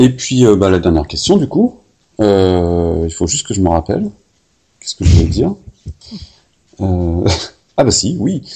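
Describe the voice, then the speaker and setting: With a Parisian accent, a man speaks at a moderate pace in a very deep, low, somewhat breathy voice, with ordinary pitch variation and long, frequent pauses. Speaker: podcast host. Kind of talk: interview.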